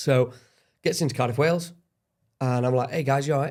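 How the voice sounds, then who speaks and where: Somewhat breathy, a man speaks very fast in an English accent. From England. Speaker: podcast guest. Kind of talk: casual debate. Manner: animated.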